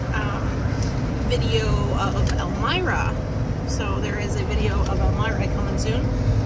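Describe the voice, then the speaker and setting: A woman speaks at a fairly slow pace with long, frequent pauses. Loud background noise fills the recording. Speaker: travel vlogger. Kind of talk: casual vlog chat. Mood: relieved, cheerful. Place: car. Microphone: phone near.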